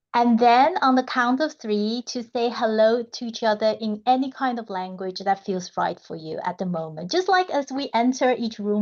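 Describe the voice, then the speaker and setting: A fairly slow delivery with a non-native accent. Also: woman. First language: not English. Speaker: community member. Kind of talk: online community gathering.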